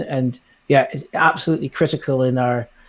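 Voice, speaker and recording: With a Scottish accent, a man talks in a fairly even intonation. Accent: Scottish lilt. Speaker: digital learning lead in education. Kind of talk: webinar presentation. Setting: online webinar.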